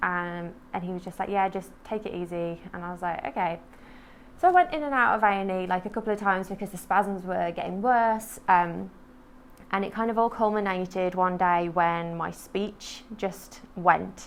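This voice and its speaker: This woman has an ordinary speaking voice at a medium pitch, with fairly even intonation. Her pace is moderate, but her loudness swings widely. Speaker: poet and MS advocate. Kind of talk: interview testimony. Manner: informal, many fillers (um, like).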